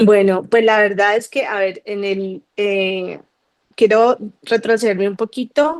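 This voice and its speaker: Speaking at a very slow pace, a woman holds a medium pitch. Her pitch varies in an ordinary way. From Colombia, Cali. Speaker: guest giving a faith testimony. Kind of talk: testimony.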